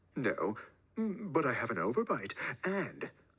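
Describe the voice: This is plain reading aloud. The text is read out as written.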